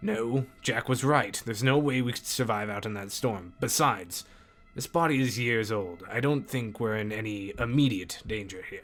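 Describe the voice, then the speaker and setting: Over faint music in the background, a man puts on a character voice at a medium pitch. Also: moderate pace. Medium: read story. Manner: low, steady, authoritative.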